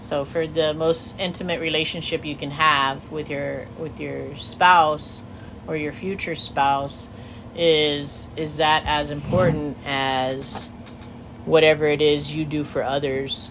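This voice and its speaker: Over noticeable background noise, a woman speaks very slowly in a very deep, low pitch with monotone, flat intonation. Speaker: podcast co-host. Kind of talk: casual chat. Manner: talkative.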